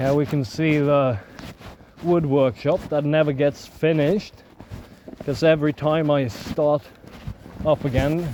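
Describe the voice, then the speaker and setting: A man speaks slowly with fairly even intonation, pitched fairly high, with long, frequent pauses. Noticeable background noise is present. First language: not English. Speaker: vlogger living off-grid in the woods. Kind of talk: casual vlog narration while walking. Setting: outdoors in the woods. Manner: mumbling; hesitant, many filler sounds.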